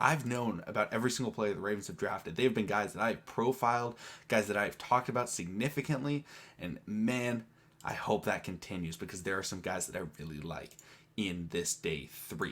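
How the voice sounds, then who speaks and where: This man speaks quietly at a fairly quick pace, with a medium pitch and ordinary pitch variation. The recording is very clean, with a silent background. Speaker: sports YouTuber. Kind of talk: casual vlog commentary.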